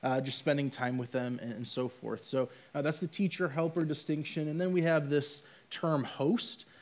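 A man speaks at a moderate pace with a fairly high pitch and fairly even intonation. His is an unremarkable speaking voice. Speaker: church ministry staff; church staff member on panel. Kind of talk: casual chat. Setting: church. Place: stage.

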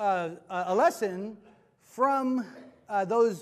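A man is speaking. The background is quiet. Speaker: preacher. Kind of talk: sermon. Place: church.

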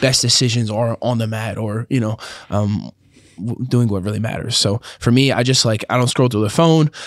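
A man has an ordinary speaking voice at medium pitch, with ordinary pitch variation, dry sound with no echo and a quiet background. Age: young. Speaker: professional grappler. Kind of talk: casual chat. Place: studio. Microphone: studio mic.

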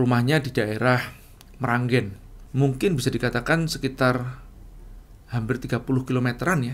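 Pausing long and often, a man speaks at medium pitch with fairly even intonation. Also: moderate pace. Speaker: entrepreneur and business coach; business coach. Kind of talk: casual storytelling monologue. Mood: relaxed, smiling, reflective.

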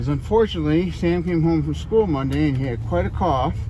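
A man's pitch swings very widely as he talks. The sound is dry with no echo, though background noise is noticeable. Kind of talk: casual vlog chat. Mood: warm, upbeat. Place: car. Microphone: phone near.

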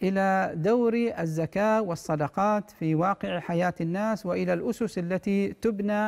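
At a fairly slow pace, a man with a high voice speaks over a quiet background. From Oman. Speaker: Islamic scholar; guest. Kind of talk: religious Q&A answering. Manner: formal. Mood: calm, measured. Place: studio. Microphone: lapel.

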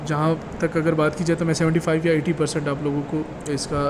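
Behind the voice, noticeable background noise can be heard. The speaker is a man with a fairly high pitch. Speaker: auctioneer and car auction commentator. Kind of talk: casual talk to camera, informative auction preview.

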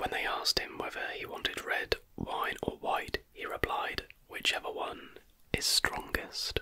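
Over light background noise, a soft-spoken man whispers at a fairly slow pace. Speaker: history content creator. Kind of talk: casual narration of trivia. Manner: soft close-mic whisper. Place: home room. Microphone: studio mic.

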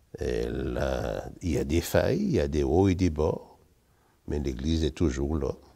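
A man speaks fairly slowly in a very deep, low voice with a dark, mellow tone and vocal fry. His pitch varies in an ordinary way against a quiet background. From Martinique. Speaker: retired teacher. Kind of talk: testimony. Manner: animated. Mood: warm, smiling, cheerful. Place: church. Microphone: lapel.

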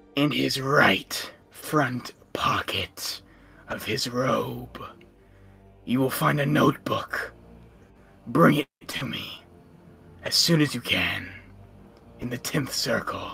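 In a raspy, put-on character voice with a low-to-middle pitch, the speaker talks at a very slow pace with long, frequent pauses while faint music plays in the background. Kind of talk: villain monologue. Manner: imperious, ominous.

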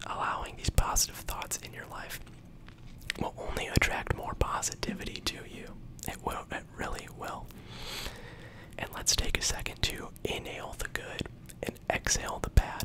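Whispering in a soothing tone, a man speaks with long, frequent pauses and big swings in loudness. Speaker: ASMR creator. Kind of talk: ASMR positive affirmations. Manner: whispered, slow, soothing. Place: home room. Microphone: studio mic.

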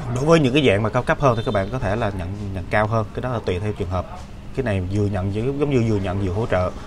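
Very fast speech over noticeable background noise. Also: man, fairly low pitch for a man, ordinary pitch variation. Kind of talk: casual explanatory talk. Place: workshop. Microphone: webcam.

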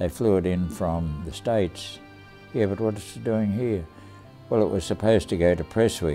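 A man with an Australian accent speaks at a very deep, low pitch with lively intonation. Faint music plays in the background. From Australia, Tasmania. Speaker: war veteran. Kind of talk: interview storytelling. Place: home room.

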